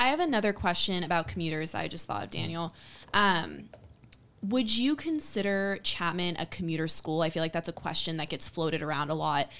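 A woman with an American accent speaks at a fairly quick pace in a fairly low voice, with some vocal fry. Her pitch varies in an ordinary way, and the recording is very clean with a silent background. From Southern California, San Diego. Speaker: admission counselor, show host. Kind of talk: casual interview.

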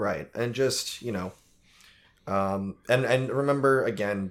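A plain, everyday voice from a man with an American accent, medium pitch, ordinary pitch variation and a fairly slow pace, very cleanly recorded against a silent background. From United States. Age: 20s. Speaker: movie podcast host. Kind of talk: casual chat.

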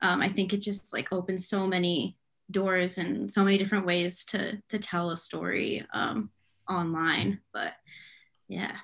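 A woman with an American accent talks at a fairly slow pace. Her voice has vocal fry. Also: medium pitch for a woman, quiet background. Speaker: news reporter. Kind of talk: casual chat. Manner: enthusiastic.

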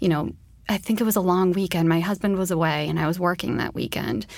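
A woman has an ordinary speaking voice with a fairly low pitch. Her pitch variation is ordinary. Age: 30s. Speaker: nurse and cancer survivor. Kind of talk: interview testimony.

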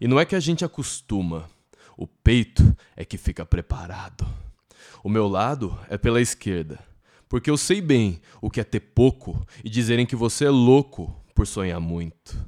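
A man's medium-pitched voice with a dark, mellow tone, very wide pitch swings, and a fairly slow pace. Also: dry, close sound with no echo. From Brazil, São Paulo ABC region. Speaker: podcast host. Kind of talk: poetic spoken intro.

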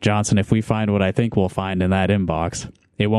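A natural reading voice is heard. The pitch holds fairly even throughout.

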